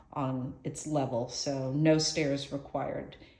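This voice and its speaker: A woman's very deep, low pitch with a dark, mellow tone and monotone, flat intonation, amid audible room echo. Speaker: estate sale auctioneer. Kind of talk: video walkthrough narration. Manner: rambling, caffeinated energy.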